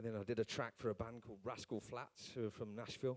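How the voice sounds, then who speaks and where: In a dry, close recording with no echo, a man talks very fast in a Birmingham accent. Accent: Birmingham accent, noticeable. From Birmingham, England. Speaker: session drummer. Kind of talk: live talk at drum clinic. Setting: stage with audience. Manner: casual, hesitant with fillers.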